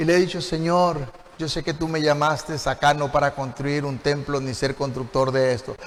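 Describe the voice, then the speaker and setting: A man's fairly high voice, with ordinary pitch variation, carries over noticeable background noise. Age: 60s. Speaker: pastor. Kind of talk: sermon.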